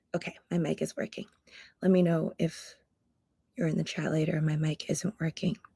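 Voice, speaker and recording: A woman's raspy, whispered put-on character voice at a moderate pace with long, frequent pauses, dry and close with no echo. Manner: whispering.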